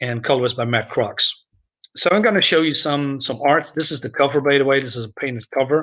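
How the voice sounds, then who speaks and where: With a Dutch accent, a man talks at a fairly quick pace. His pitch is fairly high, his tone bright and sharp, with ordinary pitch variation. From Netherlands, Groningen. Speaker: comics youtuber. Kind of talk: casual live stream review. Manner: halting, many fillers.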